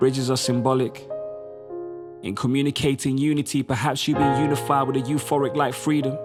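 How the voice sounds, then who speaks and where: With music in the background, a man speaks in a fairly high pitch at a fairly quick pace, his intonation monotone and flat. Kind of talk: spoken word poetry performance.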